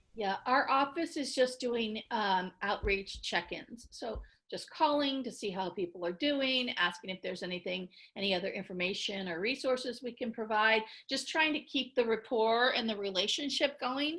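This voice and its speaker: A woman's fairly high voice with a bright, sharp tone and lively intonation. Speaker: victim services chief, psychologist. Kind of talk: training webinar presentation and Q&A. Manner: fast.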